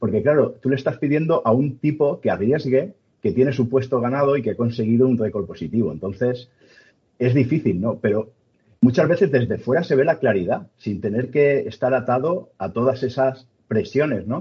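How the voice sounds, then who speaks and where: A somewhat breathy man at medium pitch with a Castilian accent, lively intonation and a moderate pace. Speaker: sports podcast host. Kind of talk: casual interview chat.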